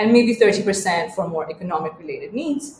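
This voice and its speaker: A woman at medium pitch and moderate pace, with noticeable background noise. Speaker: podcast co-host and researcher. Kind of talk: casual chat.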